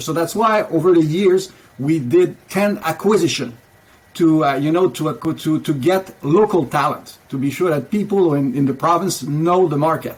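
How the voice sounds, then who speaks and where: With a French accent, a man talks at a moderate pace in a fairly high voice with ordinary pitch variation. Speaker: business founder. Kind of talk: interview.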